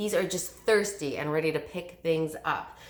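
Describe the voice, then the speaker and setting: Her tone is animated, and her pitch varies in an ordinary way. Audible room echo surrounds this woman's voice. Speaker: direct sales consultant. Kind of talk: sales pitch. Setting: recorded video at home. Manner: fast.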